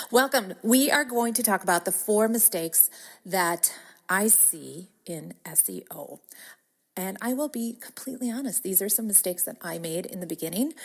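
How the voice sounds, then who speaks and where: On a very clean recording with a silent background, a woman with a Wisconsin accent speaks at a moderate pace and medium pitch, with lively intonation and big swings in loudness. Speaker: podcast host, business coach. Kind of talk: podcast monologue. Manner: casual, chatty.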